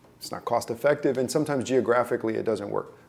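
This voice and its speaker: A man's medium-pitched voice with vocal fry and fairly even intonation. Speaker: marketing agency owner. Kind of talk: interview.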